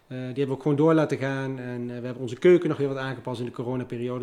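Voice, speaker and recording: At a very fast pace, a man speaks with a dark, mellow tone, medium pitch and fairly even intonation. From Netherlands, Liemers (Gelderland). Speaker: restaurant owner. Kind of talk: interview. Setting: at his restaurant.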